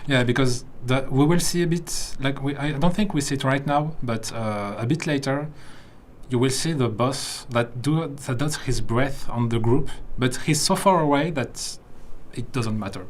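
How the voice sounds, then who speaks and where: In a French accent, a man with a fairly high pitch speaks at a moderate pace with ordinary pitch variation, and audible room echo surrounds his voice. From France. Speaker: game livestream host. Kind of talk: livestream commentary on gameplay video. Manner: halting, self-correcting.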